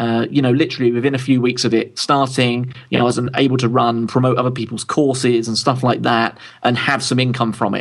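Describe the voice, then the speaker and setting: A man with a London accent talks at a fairly quick pace, his intonation fairly even. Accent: southern English, London. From London, England. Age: 30s. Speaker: tech publisher and founder. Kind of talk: interview.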